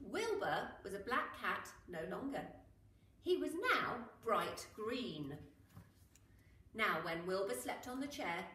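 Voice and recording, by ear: The speech moves at a slow pace with big pitch swings and a bright, sharp tone. Strong room echo surrounds it. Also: woman, medium pitch for a woman.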